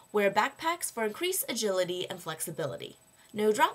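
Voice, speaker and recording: A woman with an American accent and very wide pitch swings, over noticeable background noise. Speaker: college student. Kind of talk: scripted narration.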